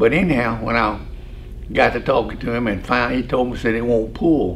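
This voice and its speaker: Talking at a fairly quick pace, a man is heard against noticeable background noise and audible room echo. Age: 80s+. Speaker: retired farm equipment dealer. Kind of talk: storytelling interview.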